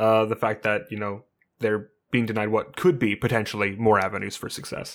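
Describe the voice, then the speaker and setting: A man's fairly even intonation accompanies his fairly quick delivery. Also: very clean recording, silent background. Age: 20s. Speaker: podcast co-host and streamer. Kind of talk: casual chat. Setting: home studio, new microphone.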